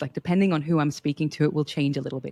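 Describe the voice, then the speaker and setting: A woman's voice comes through on a very clean recording with a silent background and a dry, close sound with no echo. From Australia. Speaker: leadership coach and performance researcher. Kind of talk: podcast interview. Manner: animated.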